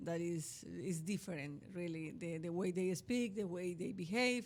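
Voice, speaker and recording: Speaking at a fairly slow pace, this voice carries a strong Colombian accent. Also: woman. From Colombia, mountain region. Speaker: cultural institute president. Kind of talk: interview. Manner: halting, repeats words.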